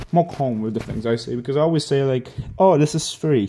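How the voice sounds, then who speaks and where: A man's dark, mellow voice at a fairly high pitch, with ordinary pitch variation and a moderate pace. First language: Hebrew. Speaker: gaming content creator. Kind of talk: apology video monologue. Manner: casual, filler-heavy.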